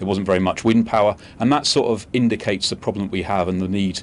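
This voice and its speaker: Very fast delivery from a man with a fairly low pitch and fairly even intonation, light background noise behind him. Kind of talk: interview answer. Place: studio. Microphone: lapel.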